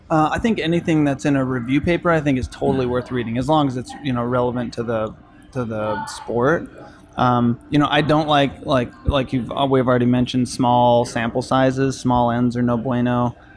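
A man talks fairly quickly at a medium pitch, his intonation fairly even, as noticeable noise runs in the background. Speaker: climbing coach and clinician. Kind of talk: casual chat. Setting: in a cafe.

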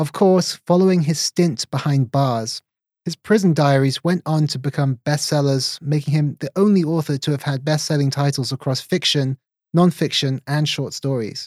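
A man with a plain, everyday voice speaks at a fairly high pitch and moderate pace, with ordinary pitch variation. The sound is dry and close with no echo, very clean, with a silent background. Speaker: podcast host and journalist. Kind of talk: interview with scripted intro.

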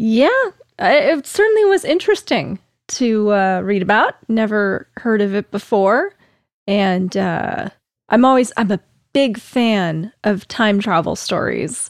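A woman talks at a fairly slow pace with ordinary pitch variation, the sound dry and close with no echo. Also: fairly high pitch for a woman. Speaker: podcast co-host. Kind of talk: casual chat. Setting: live-streamed recording with chat audience. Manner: very quiet.

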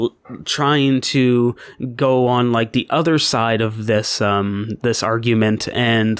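Recorded dry and close with no echo, a man speaks very slowly at a medium pitch. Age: 20s. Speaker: podcast co-host. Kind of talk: casual chat.

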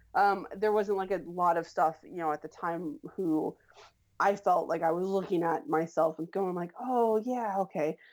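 A woman with an unremarkable speaking voice talks at a moderate pace and medium pitch with ordinary pitch variation. The recording is very clean, with a silent background. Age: 30s. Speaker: web series creator and writer. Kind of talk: casual interview.

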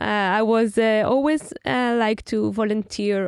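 A woman with an Israeli accent speaks at a very slow pace. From Israel, Tel Aviv. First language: Hebrew. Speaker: venture capital investor. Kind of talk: interview. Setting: studio.

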